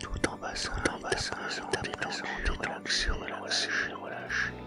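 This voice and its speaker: With music in the background, a man whispers at a fairly slow pace. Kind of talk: guided relaxation / sophrology session. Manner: whispered, soft, slow.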